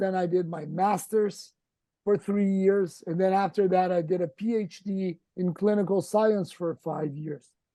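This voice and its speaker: This man has a Brazilian accent and a high pitch with a dark, mellow tone. He speaks at a fairly slow pace with fairly even intonation. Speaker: endodontist. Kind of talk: casual interview. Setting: video call.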